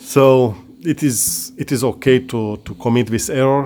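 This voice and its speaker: At a moderate pace, a man talks in a medium pitch. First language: not English (English is third language). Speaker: via ferrata climber and tutorial creator. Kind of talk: tutorial. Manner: halting, with frequent restarts and repetitions.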